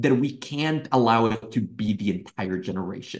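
Here is a man talking. His pace is moderate. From Mexico City. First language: Spanish. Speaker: youth political organization director. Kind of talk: interview.

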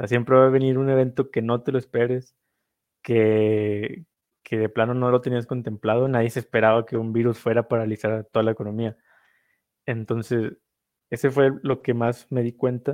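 At a moderate pace, a man talks in a monotone, flat intonation at a medium pitch. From northern Mexico. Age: 20s. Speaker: investor, social media educator. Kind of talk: casual interview.

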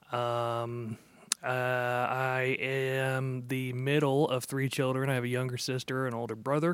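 A man at a medium pitch, monotone and flat in intonation, at a fairly slow pace. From Texas, Dallas-Fort Worth. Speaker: church music director. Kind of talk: casual chat. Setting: church worship center.

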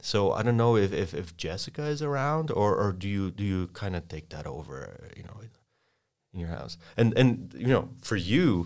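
A man with a Polish accent at a moderate pace. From Poland. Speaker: sales consultant. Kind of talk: podcast interview with role-play. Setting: studio.

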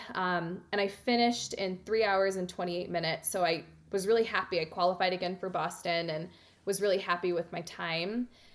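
A woman speaks at a fairly quick pace in a plain, everyday voice with a medium pitch and fairly even intonation. The recording is very clean, with a silent background. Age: 30s. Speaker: marathon runner and yoga teacher. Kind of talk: interview.

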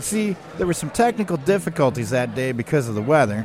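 There is noticeable background noise. Through it, a man talks with lively intonation. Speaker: radio host. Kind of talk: radio DJ patter, a chatty, folksy show intro. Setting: radio station. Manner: playful, down-home and jokey, with laughs and self-deprecating asides; upbeat and energetic, with a rhythmic sign-off.

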